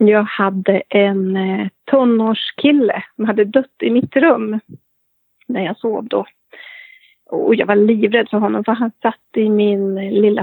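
A woman speaks at a fairly slow pace in a plain, everyday voice. Her pitch is fairly high. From Sweden, Köping (Västmanland). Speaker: medium. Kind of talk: interview storytelling.

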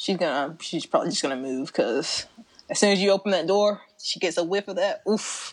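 A woman speaks at a fairly quick pace with lively intonation and medium pitch. It is an ordinary speaking voice. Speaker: podcast host. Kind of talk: casual comedic chat. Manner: chatty, filler-heavy.

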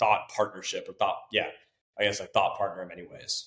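The speaker has a Californian accent. The pace is fairly quick. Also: man. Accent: Californian American. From California, Silicon Valley. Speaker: tech startup CEO. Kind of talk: interview.

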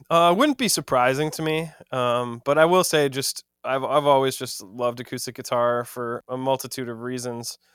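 A man in an American accent speaks at a moderate pace with hardly any pauses. He has a plain, everyday voice, with medium pitch and fairly even intonation. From US Midwest, Madison, Wisconsin. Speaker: singer-songwriter. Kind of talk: casual chat.

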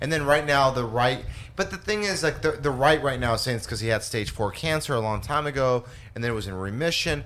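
Talking at a very fast pace, a man with a medium-pitched voice uses lively intonation. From Los Angeles. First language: Spanish. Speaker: stand-up comedian. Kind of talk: casual chat. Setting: studio.

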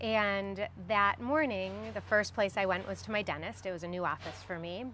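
Music plays in the background as a woman with an American accent speaks at a fairly quick pace. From US Midwest, Chicago suburbs. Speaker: educator and theater professional. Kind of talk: interview.

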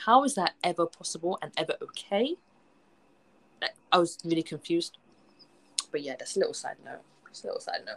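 A fairly quick pace broken by long, frequent pauses. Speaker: podcast host. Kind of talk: casual chat. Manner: animated.

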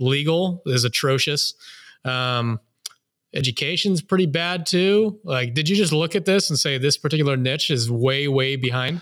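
Here is a normal speaking voice at a moderate pace with ordinary pitch variation and very even loudness, captured on a very clean recording with a silent background. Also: man, fairly high pitch for a man. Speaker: podcast host. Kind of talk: casual interview chat. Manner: jokey, conversational.

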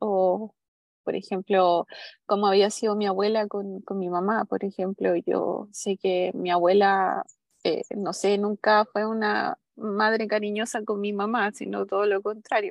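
With a Chilean accent, the speaker talks at a fairly slow pace in a monotone, flat intonation. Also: woman, medium pitch for a woman. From southern Chile. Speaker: mother seeking coaching. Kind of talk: personal testimony in coaching session. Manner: halting.

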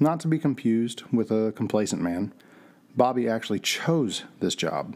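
In a normal speaking voice, a man talks at a moderate pace with fairly low pitch and lively intonation. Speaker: narrator of mystery audio drama. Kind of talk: scripted noir-style audio drama narration, read aloud as a mystery story. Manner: measured, atmospheric storyteller delivery with a hushed, suspenseful build; formal and descriptive, literary pacing.

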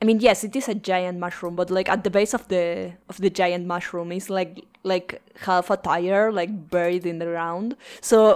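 In a very clean recording with a silent background, a woman with a Spanish accent speaks with fairly even intonation. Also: medium pitch for a woman, moderate pace. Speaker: podcast host. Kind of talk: casual chat.

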